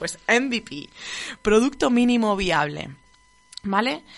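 A woman with a southern Spanish accent speaks at a very slow pace with lively intonation, over noticeable background noise. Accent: regional southern Spanish. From southern Spain, between Murcia and Castilla-La Mancha. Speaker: marketing podcast host. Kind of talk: casual solo monologue. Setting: radio studio. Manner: shaky voice.

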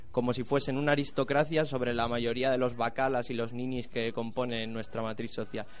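A man speaks with fairly even intonation, and the room echo is audible. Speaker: radio course student reporter. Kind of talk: cultural commentary; street interview report.

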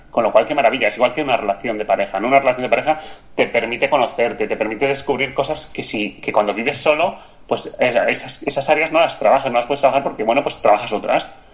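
Someone talks at a very fast pace with ordinary pitch variation amid noticeable background noise. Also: man, fairly high pitch for a man. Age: 40s. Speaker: physiotherapist, coach and author. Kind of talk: casual interview.

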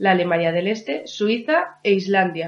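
With an ordinary speaking voice, a woman talks at a fairly slow pace using lively intonation. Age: 40s. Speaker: podcast co-host. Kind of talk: casual chat.

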